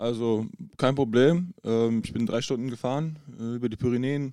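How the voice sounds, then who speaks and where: Here a man uses an unremarkable speaking voice at medium pitch. He keeps a moderate pace. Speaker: professional basketball player. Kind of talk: casual chat. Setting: in person at a table in a hotel.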